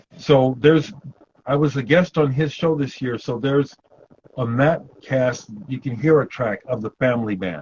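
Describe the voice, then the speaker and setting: With a somewhat breathy, medium-pitched voice, a man speaks at a moderate pace with ordinary pitch variation. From Omaha, Nebraska, US Midwest. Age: 60s. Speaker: punk musician. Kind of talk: interview.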